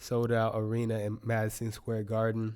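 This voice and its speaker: A man speaks with a dark, mellow tone. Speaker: podcast host. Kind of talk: casual monologue. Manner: halting.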